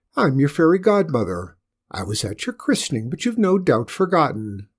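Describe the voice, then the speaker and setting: Using a put-on character voice, a man speaks at a moderate pace and fairly high pitch with very wide pitch swings, on a very clean recording with a silent background. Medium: read story. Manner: gracious but overbearing.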